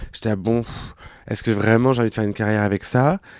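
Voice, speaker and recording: A man of medium pitch at a very fast pace, fairly even intonation, and a dry, close sound with no echo on a very clean recording with a silent background. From France, Clermont-Ferrand. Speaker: drag queen and actor. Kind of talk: casual chat.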